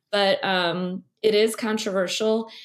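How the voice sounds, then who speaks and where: On a very clean recording with a silent background, a woman with an American accent speaks at a fairly slow pace and with fairly even intonation. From US Midwest (Missouri). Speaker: ocean scientist and science writer. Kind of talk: interview. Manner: halting, many fillers.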